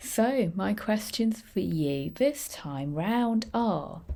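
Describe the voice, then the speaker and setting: A woman's voice with a British accent and lively intonation. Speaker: English teacher. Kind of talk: tutorial.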